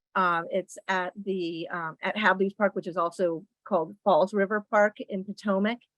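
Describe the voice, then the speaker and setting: A woman's ordinary speaking voice at a medium pitch, fairly even in intonation, at a moderate pace, with a dry, close sound and no echo. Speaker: nonprofit executive director and parent. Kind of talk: meeting presentation.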